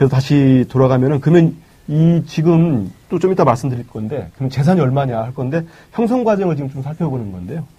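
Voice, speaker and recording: The voice is somewhat breathy, with lively intonation at a fairly quick pace. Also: man, fairly high pitch for a man. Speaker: journalist, editorial writer. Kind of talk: casual political talk.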